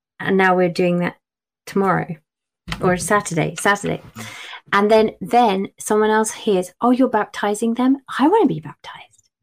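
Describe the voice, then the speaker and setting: Using an English accent, a woman speaks at a moderate pace in a medium pitch with ordinary pitch variation and long, frequent pauses. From England. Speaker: children's book author. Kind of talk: casual chat.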